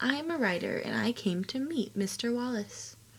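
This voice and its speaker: In a put-on character voice, the speaker sounds nervous, shaky and soft-spoken, mumbling with lively intonation. The pace is moderate, with light background noise. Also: woman, fairly high pitch for a woman. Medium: read story. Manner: shy, nervous, mumbling.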